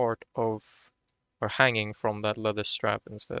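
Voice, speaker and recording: A man speaks in a Swedish accent at a fairly low pitch. His intonation is flat and monotone, and his pace is fairly slow. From Sweden. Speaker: video game tutorial creator. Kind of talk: tutorial. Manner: halting, repeats words; casual.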